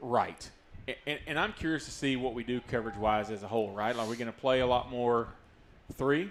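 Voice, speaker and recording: A man with a strong Southern US accent talks at a fairly quick pace. His pitch is medium, with ordinary pitch variation. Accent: strong rural Southern. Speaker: sports commentator. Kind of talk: live commentary. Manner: fast.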